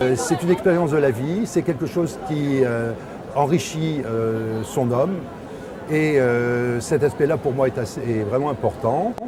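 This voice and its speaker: A man with a fairly high pitch talks at a fairly slow pace, his pitch varying in an ordinary way. Audible room echo and noticeable background noise surround him. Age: 60s. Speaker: small agency director. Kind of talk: interview. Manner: hesitant.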